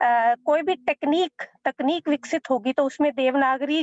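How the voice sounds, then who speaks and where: A woman speaks with a Punjabi accent. Her pitch is high. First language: Punjabi (speaking Hindi). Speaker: academic panelist. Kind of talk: panel talk.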